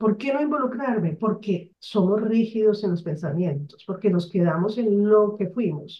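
A woman of medium pitch speaks fairly slowly and somewhat breathily, with ordinary pitch variation and hardly any pauses. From Colombia, Barranquilla (Caribbean coast). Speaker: mentor, author and business consultant. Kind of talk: interview.

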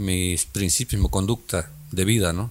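Very deep, low male voice at a fairly slow pace with ordinary pitch variation, on a very clean recording with a silent background. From Mexico, Guerrero coast (Coacoyul, Zihuatanejo). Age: 60s. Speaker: local politician. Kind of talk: interview.

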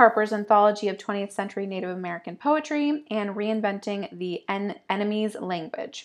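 A woman's ordinary speaking voice at medium pitch and a moderate pace. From upstate New York. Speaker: poetry podcast co-host. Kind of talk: casual chat; reading aloud.

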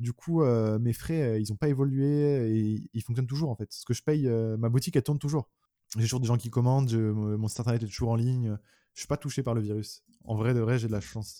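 At a fairly quick pace, a man speaks at medium pitch in a dark, mellow tone with fairly even intonation, on a very clean recording with a silent background and a dry, close sound with no echo. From France, Orléans. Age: 20s. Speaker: YouTuber and clothing brand founder. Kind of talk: casual interview chat.

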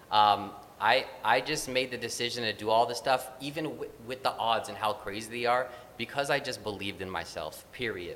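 This man has an ordinary speaking voice, pitched medium, moving at a moderate pace with ordinary pitch variation. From Filipino-American. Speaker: actor and children's musician. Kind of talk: interview.

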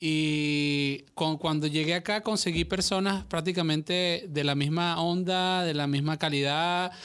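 Recorded very cleanly with a silent background, a man with an ordinary speaking voice and a fairly high pitch talks at a fairly slow pace with hardly any pauses, very even loudness and fairly even intonation. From Venezuela, Caracas. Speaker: podcast guest. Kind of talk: casual chat. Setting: studio.

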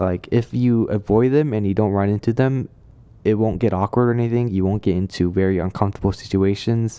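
A man with a dark, mellow tone speaks at a fairly low pitch and fairly quick pace, with fairly even intonation and very even loudness. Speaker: podcast host. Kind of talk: personal vent, solo monologue. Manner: halting, hesitant, with many restarts.

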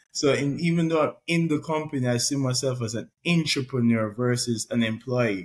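A somewhat breathy man's voice at medium pitch, moderate pace and ordinary pitch variation. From Jamaica. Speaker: podcast host. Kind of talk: interview.

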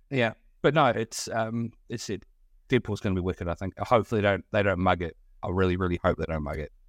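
A man with a New Zealand accent at a very fast pace. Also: fairly low pitch for a man, ordinary pitch variation. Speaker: podcast host guesting. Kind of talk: casual chat. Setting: remote call.

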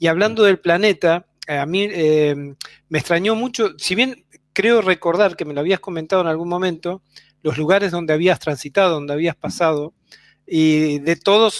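Recorded with a dry, close sound and no echo, a man with a high pitch and an Argentine accent talks at a moderate pace with ordinary pitch variation. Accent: Argentine Spanish (voseo). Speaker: radio host. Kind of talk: interview conversation.

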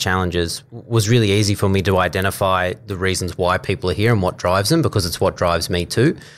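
A man talks at a fairly quick pace. His voice sits fairly low. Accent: Australian. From Australia, New South Wales (Coffs Harbour). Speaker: health services procurement manager. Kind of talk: interview. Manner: hesitant fillers.

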